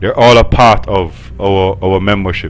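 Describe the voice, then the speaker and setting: The pace is moderate. Audible echo fills the room. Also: man. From Jamaica. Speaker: golf club manager. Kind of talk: interview. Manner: halting.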